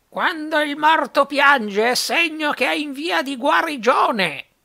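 A put-on character voice, high-pitched and raised to project, takes a solemn, pompous tone. It moves at a fairly slow pace. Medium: read story.

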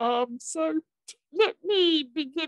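A woman speaks in a British accent, recorded dry with no echo over a quiet background. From England. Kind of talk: formal panel moderation. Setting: video call. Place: home room. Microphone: video call.

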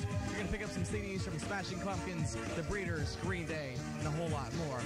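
A man talking at a very fast pace, dry sound with no echo, loud music in the background. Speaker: radio DJ. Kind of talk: radio station promo and on-air DJ patter. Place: studio.

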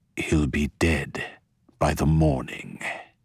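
A man's put-on character voice, growling and very deep in pitch. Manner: menacing.

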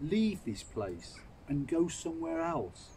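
A somewhat breathy man at a fairly slow pace, with very wide pitch swings and light background noise. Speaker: Bible reader. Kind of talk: scripture reading aloud. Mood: calm, solemn. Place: garden. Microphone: phone near.

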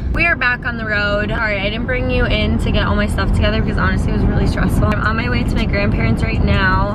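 Loud background noise surrounds a woman's voice. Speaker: vlogger. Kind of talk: casual vlog chat. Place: car. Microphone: phone near.

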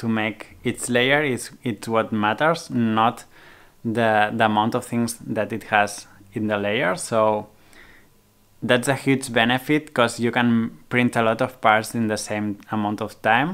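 Fairly even intonation and a fairly slow pace from a man. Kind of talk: casual vlog chat. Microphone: phone near.

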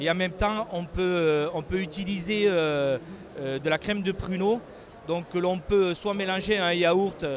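A man speaks at a fairly slow pace in a southwestern French accent, his pitch high. The sound is dry with no echo, over light background noise. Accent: sing-song southwestern French. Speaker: prune farmer. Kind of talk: interview answer. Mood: calm, proud of product. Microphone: handheld.

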